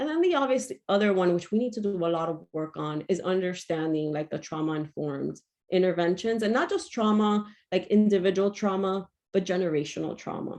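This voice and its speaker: With an unremarkable speaking voice, a woman talks at a fairly quick pace at medium pitch with ordinary pitch variation against a quiet background. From Miami, Florida (Cuban-American). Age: 40s. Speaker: mental health trainer. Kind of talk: lecture.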